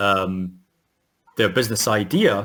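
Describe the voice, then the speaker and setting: A man speaks with a Scottish accent. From Scotland. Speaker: futurist. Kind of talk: interview. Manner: halting, many fillers.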